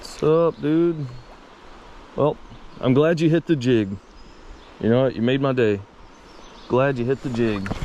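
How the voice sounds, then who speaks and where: The speech moves at a fairly slow pace with ordinary pitch variation and long, frequent pauses. Background noise is noticeable. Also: man, medium pitch for a man. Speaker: fishing video creator. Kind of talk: casual outdoor vlog narration. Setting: outdoors by a river. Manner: relaxed, casual.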